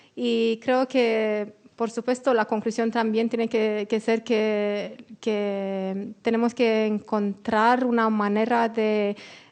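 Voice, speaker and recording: A woman with a non-native accent at a very slow pace, hardly any pauses, very even loudness and a monotone, flat intonation. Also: fairly high pitch for a woman. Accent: non-native Spanish, still learning. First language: Romanian (speaking Spanish). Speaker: panelist, democracy communications expert. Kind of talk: panel presentation. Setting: auditorium with audience. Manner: halting, searching for words.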